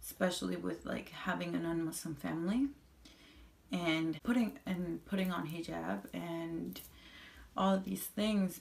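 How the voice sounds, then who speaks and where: The speaker goes at a fairly slow pace in a Spanish accent. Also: woman. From Colombia, moved to US at eight. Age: 20s. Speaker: vlogger. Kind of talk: personal testimony. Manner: halting, with repetitions.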